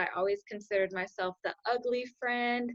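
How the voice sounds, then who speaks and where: A woman speaks at a fairly slow pace in a normal speaking voice with ordinary pitch variation. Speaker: health coach. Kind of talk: personal story testimony. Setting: video call.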